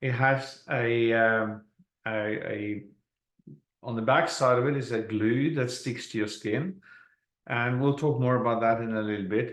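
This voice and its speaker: Speaking fairly slowly with a Norwegian accent, a man of medium pitch shows ordinary pitch variation against a quiet background. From Norway. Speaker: network marketing presenter. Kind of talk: sales presentation.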